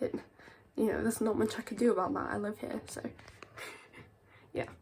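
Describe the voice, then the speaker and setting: There is noticeable background noise as a woman speaks with a British accent. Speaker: vlogger. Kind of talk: casual vlog. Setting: in bed at home. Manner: halting, hesitant.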